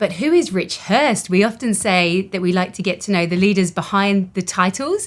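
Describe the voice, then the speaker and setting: A woman with an English accent at a moderate pace and medium pitch, ordinary pitch variation and hardly any pauses, on a very clean recording with a silent background. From England. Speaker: company co-founder. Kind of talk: casual interview conversation.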